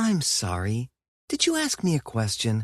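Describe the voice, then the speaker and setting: A put-on character voice. The pitch sits low to middle. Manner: too sweet, sarcastic.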